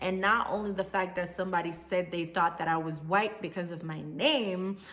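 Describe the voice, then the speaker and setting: In a Jamaican accent, a woman with a fairly low pitch speaks at a moderate pace in an animated tone, with audible room echo. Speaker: vlogger. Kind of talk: casual vlog talk.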